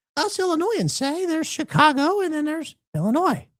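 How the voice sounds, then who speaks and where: A man puts on a squeaky character voice at an extremely high pitch, speaking at a very fast pace. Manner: self-imposed playful punishment voice.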